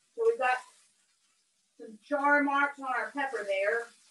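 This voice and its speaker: A woman's high-pitched voice with an American accent, fairly slow and fairly even, with audible room echo and light background noise. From southern United States. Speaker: cooking instructor. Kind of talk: live cooking demonstration. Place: kitchen. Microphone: video call.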